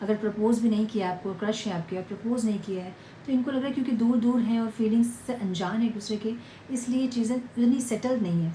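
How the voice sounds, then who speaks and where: A woman speaks quietly at a fairly high pitch, her intonation fairly even. Noticeable noise sits in the background. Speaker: tarot reader. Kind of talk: tarot reading to viewers. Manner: quiet, low volume.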